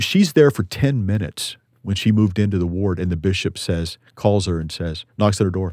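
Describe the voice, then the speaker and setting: A man with a Texan accent speaks at a fairly quick pace in a very deep, low voice. His pitch varies in an ordinary way, and the recording is very clean with a silent background. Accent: Texan American. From Texas. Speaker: litigation attorney, Army veteran. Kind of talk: interview testimony.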